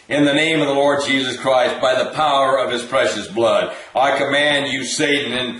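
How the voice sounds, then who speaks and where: Over light background noise and audible room echo, a man speaks at a moderate pace with monotone, flat intonation. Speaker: deliverance minister leading viewers in prayer. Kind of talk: fervent prayer and commanding spiritual warfare, repeating commands; interactive deliverance session. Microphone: webcam.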